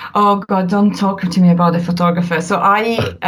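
Over noticeable background noise, the speaker talks with an Italian accent. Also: woman. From northern Italy, near the Alps. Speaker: family documentary photographer. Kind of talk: casual interview chat. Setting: remote call.

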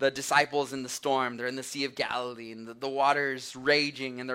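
The speaker simply reads a text aloud in a plain way.

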